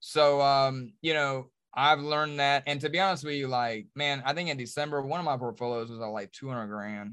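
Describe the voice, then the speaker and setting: A man with an American accent talks at a fairly quick pace over a quiet background. His voice is fairly high, with a bright, sharp tone. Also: ordinary pitch variation. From Charlotte, North Carolina. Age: 40s. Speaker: reality TV star and businessman.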